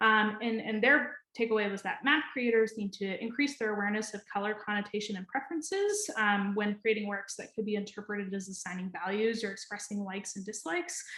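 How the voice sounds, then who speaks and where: A woman with an American accent and a fairly high pitch, ordinary pitch variation, hardly any pauses, and noticeable background noise. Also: fairly quick pace. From New Hampshire, US Northeast. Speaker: data scientist, conference presenter. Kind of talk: conference presentation. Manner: fast; hesitant with frequent fillers and repetitions.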